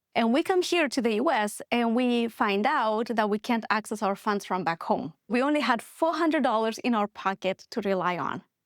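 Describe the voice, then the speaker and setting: A woman's fairly high voice in a Moldovan accent with lively intonation and very even loudness, at a moderate pace with hardly any pauses, dry and close with no echo on a very clean recording with a silent background. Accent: Moldovan accent, noticeable. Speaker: business founder. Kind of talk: podcast interview.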